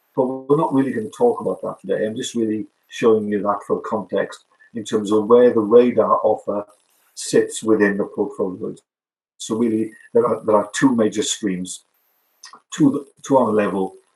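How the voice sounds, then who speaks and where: The pace of this male speaker is moderate. He talks with a British accent. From Wales. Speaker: product manager. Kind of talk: webinar presentation. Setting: online webinar. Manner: hesitant, many fillers.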